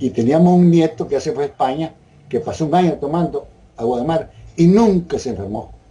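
Lively intonation colors a man's dark, mellow voice as he moves at a fairly quick pace. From Nicaragua. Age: 80s+. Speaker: interviewee sharing health testimony. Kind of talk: interview answer. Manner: casual, conversational. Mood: calm, earnest. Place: home room. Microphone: video call.

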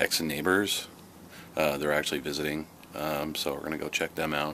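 A man with a very deep, low voice. Light background noise sits behind him. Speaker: family vlogger. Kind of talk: casual vlog talk to camera.

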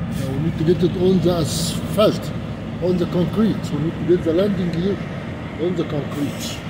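Loud background noise under speech of moderate pace. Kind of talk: casual vlog commentary. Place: car. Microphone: phone near.

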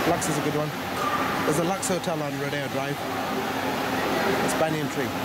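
Over loud background noise, a man speaks at a fairly quick pace. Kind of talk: casual vlog chat. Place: hall. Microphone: phone near.

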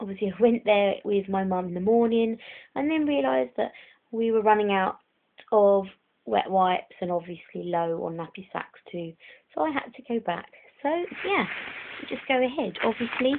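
Against a quiet background, a woman speaks at a moderate pace with long, frequent pauses. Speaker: doll collector vlogger. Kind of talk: casual vlog chat. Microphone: phone near.

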